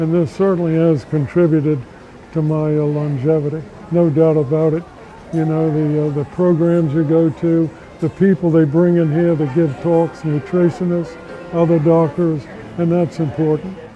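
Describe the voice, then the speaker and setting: A man's monotone, flat delivery at a moderate pace, with light background noise. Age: 80s+. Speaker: YMCA member. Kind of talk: interview answer. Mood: calm, reflective. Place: gym. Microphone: lapel.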